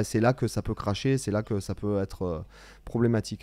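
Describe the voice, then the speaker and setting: A man with a dark, mellow tone talks at a fairly quick pace on a very clean recording with a silent background, the sound dry and close with no echo. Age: 40s. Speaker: guitar teacher and channel host. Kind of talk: casual interview chat.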